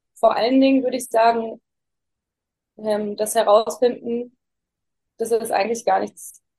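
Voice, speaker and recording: A woman speaks in a dark, mellow tone with flat, monotone intonation. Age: 20s. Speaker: interviewee sharing personal crisis experience. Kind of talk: interview. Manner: halting.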